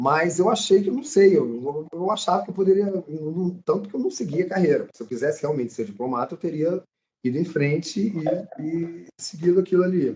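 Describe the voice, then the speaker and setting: Intonation is lively as a man talks at a moderate pace. The tone of his voice is dark and mellow. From Brasília, Brazil. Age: 50s. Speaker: actor. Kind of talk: casual chat. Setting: live stream.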